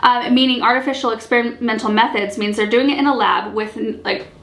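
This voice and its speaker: Noticeable background noise sits behind a woman whose voice has ordinary pitch variation. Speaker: gardening channel host. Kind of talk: casual talk to camera. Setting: camera mic with slight echo.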